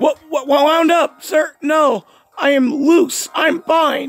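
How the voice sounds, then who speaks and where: A strained, put-on character voice at a fairly slow pace. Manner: nervous, defensive, stammering.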